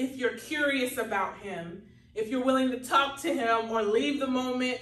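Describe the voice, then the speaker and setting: Over noticeable background noise and audible room echo, a woman speaks at a moderate pace with a high pitch. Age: 30s. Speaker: minister and podcast host. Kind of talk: sermon.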